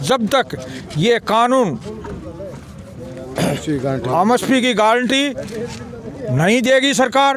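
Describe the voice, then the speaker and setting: Through noticeable background noise, a man with an extremely high voice speaks with lively intonation and very even loudness, leaving long, frequent pauses. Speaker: farmer union leader. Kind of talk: protest statement to press.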